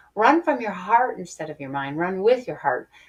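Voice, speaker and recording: Her pitch swings very widely. The woman's voice is somewhat breathy. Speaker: spiritual podcast host. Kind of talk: inspirational monologue. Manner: animated.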